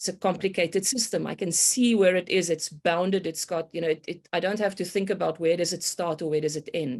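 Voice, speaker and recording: The speaker has a South African accent and talks at a fairly quick pace. The background is quiet. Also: woman, fairly low pitch for a woman, ordinary pitch variation. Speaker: complexity consultant, meteorologist by training. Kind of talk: podcast interview. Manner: hesitant, many fillers.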